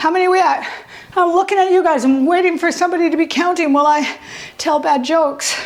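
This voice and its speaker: A woman with an extremely high pitch speaks at a very fast pace in an energetic tone and at very even loudness, with audible room echo and noticeable background noise. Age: 60s. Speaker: fitness instructor. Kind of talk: live fitness class instruction. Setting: live class with students. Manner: energetic, coaching cues while exercising.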